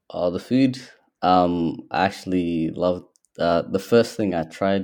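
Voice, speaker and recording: Over a quiet background, a man with an Australian accent speaks at a very deep, low pitch with ordinary pitch variation. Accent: Australian, some hear it as American. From Ethiopia, Somali background, in Australia since age 10. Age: 20s. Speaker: young business owner. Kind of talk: casual interview. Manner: hesitant, many fillers.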